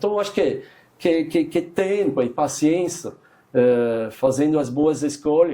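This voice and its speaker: The delivery is fairly slow. A dark, mellow tone comes through. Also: man, fairly high pitch for a man, ordinary pitch variation. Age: 60s. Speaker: chef. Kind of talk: interview. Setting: studio. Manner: halting, with repetitions and fillers.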